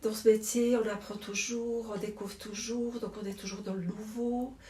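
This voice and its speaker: A woman speaks at a fairly slow pace in a fairly high pitch. Noticeable background noise is present. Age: 60s. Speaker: druggist, shop owner. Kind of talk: interview.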